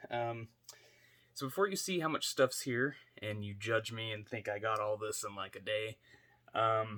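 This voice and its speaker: The voice is quiet, with a bright, sharp tone. The recording is very clean, with a silent background. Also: man. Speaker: toy collector YouTuber. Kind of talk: casual unboxing vlog. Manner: quiet, kept down for sleeping baby; hesitant, many fillers.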